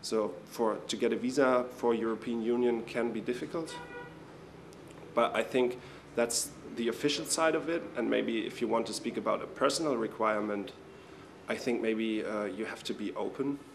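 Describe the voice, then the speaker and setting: A man at medium pitch with a German accent, moderate pace and ordinary pitch variation, amid noticeable background noise and audible room echo. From Germany. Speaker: international intern. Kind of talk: interview.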